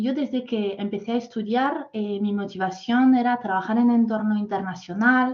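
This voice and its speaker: Someone with a French accent speaks at a fairly slow pace in a somewhat breathy voice with fairly even intonation. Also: woman. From France. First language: French (speaking Spanish). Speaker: corporate talent manager. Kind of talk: masterclass talk. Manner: halting, many fillers.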